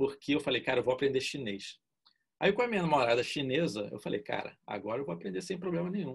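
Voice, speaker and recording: Against a quiet background, a man talks fairly quickly in a fairly high voice marked by vocal fry. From Brazil. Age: 50s. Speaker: art director; interviewee. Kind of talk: casual interview. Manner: informal, slangy. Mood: relaxed, casual, joking. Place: home room. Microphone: video call.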